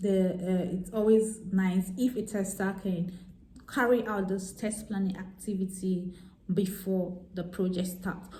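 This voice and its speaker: In a room with audible echo, a woman speaks at a medium pitch and a fairly slow pace. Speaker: software tester and vlogger. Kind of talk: tutorial. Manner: hesitant, many fillers.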